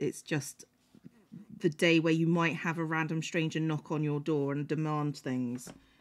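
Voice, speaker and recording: A woman with a British accent and a very deep, low pitch, at a moderate pace with fairly even intonation, on a very clean recording with a silent background. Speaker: streamer. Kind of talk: casual chat. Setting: home stream with a cat.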